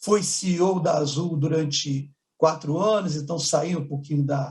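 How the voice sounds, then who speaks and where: Speaking with a Carioca accent, a man uses a fairly high pitch and fairly even intonation. His voice is somewhat breathy, and he goes at a fairly slow pace. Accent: charming carioca. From Rio de Janeiro, Brazil. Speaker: business executive. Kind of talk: conference panel talk.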